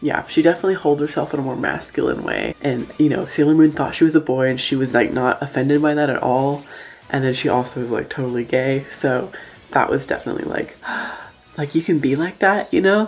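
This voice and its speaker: A woman's very deep, low voice with an American accent, ordinary pitch variation and a fairly quick pace, over noticeable background noise. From Oklahoma, US. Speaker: YouTuber. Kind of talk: casual vlog monologue.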